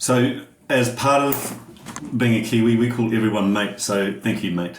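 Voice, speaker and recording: Noticeable background noise sits behind a man talking. He keeps a moderate pace with fairly even intonation. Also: medium pitch for a man. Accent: New Zealand. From New Zealand. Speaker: podcast guest, human performance coach.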